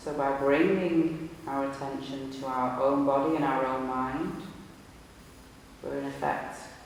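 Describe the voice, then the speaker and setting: A man with a fairly high pitch speaks in a calm tone at a fairly slow pace, with long, frequent pauses and monotone, flat intonation. Noticeable background noise runs underneath. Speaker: meditation teacher, hypnotherapist. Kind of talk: guided meditation, live group session. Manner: calm, slow, instructive.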